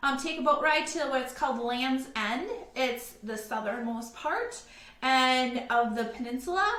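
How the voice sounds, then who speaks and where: Speaking fairly slowly, a woman uses a high pitch, ordinary pitch variation and an animated tone. Room echo is audible. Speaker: travel agent. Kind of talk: virtual presentation.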